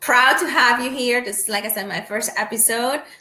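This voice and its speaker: A woman's fairly high-pitched voice, with ordinary pitch variation, comes through audible room echo. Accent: Spanish. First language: Spanish. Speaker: podcast host, sport shooter. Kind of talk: casual interview chat. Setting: home.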